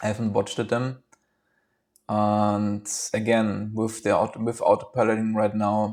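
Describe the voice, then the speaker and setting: Here is a man with a German accent at a fairly slow pace. His intonation is monotone and flat. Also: fairly low pitch for a man. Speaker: vlogger. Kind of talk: casual monologue. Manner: halting.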